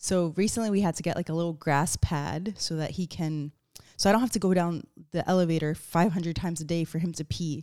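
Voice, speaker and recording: A woman with an unremarkable speaking voice talks fairly quickly at a fairly low pitch, her intonation fairly even. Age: 30s. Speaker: podcast host. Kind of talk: solo monologue podcast. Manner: casual, filler-heavy.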